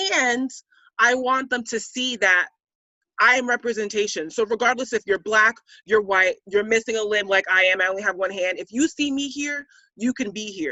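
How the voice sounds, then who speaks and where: At a moderate pace, a woman with a fairly high pitch talks in an animated tone with ordinary pitch variation. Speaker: athlete. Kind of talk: roundtable discussion. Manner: loud.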